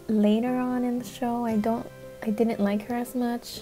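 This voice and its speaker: A soft-spoken, nervous-toned woman at a fairly slow pace, with fairly even intonation and music in the background. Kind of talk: casual commentary to camera. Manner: soft-spoken, nervous, apologetic.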